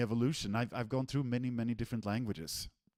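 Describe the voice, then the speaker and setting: With a Swedish accent, a man speaks in a dark, mellow tone and ordinary pitch variation, recorded dry and close with no echo. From Sweden. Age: 40s. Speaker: software developer, technical director. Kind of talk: online presentation. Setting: live stream.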